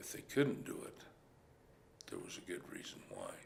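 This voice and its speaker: A man with a rural western US accent talks at a moderate pace. Audible room echo surrounds his voice. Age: 60s. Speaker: cowboy. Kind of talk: interview testimony.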